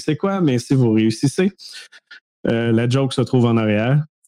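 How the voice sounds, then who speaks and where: In a Quebec accent, a man talks at a moderate pace with a medium pitch. His tone is dark and mellow, with ordinary pitch variation. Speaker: cybersecurity podcast co-host. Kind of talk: casual chat.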